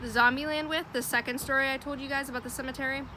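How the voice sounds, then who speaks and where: Amid noticeable background noise, a woman uses a raised, projected voice at a high pitch. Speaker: storytelling vlogger. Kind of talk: casual storytime monologue. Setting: outdoors. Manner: loud; animated.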